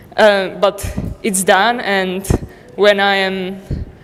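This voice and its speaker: A woman speaks at a medium pitch and a very slow pace. Noticeable background noise runs underneath. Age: 20s. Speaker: university student. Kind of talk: self-introduction at event.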